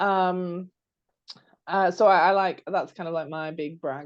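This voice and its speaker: In a British accent, a woman with a fairly low pitch speaks at a moderate pace with ordinary pitch variation. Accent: British accent, noticeable. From United Kingdom. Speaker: podcast co-host, marketing strategist and coach. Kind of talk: casual chat. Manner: hesitant, many fillers and restarts.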